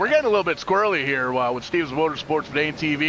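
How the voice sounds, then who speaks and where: A man speaks with lively intonation. Noticeable background noise can be heard. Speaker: sim racing commentator. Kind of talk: live commentary. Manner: fast; animated.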